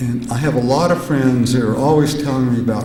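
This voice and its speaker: A man speaks at a medium pitch with ordinary pitch variation. Noticeable background noise and audible room echo fill the recording. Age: 70s. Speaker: psychedelic researcher and conference speaker. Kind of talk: conference talk. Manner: halting, many filler sounds.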